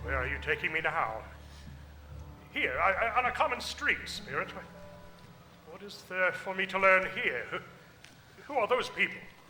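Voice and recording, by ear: Putting on a character voice, a man speaks at a high pitch with big pitch swings, a bright, sharp tone, long, frequent pauses and audible room echo. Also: moderate pace.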